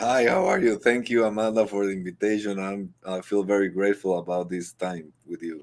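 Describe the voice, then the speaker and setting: A man with a Guatemalan accent speaks in a fairly low pitch with fairly even intonation. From Guatemala (Guatemala City). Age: 40s. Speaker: entrepreneur and former athlete. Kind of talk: interview. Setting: live online show. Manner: halting, many fillers and repeats.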